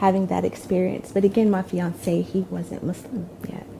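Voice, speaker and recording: Speaking in a North Carolina accent, a woman with a fairly low voice keeps a fairly slow pace. There is noticeable background noise. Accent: Southern US (North Carolina). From Durham, North Carolina, USA. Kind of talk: interview answer. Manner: casual, conversational with hesitations.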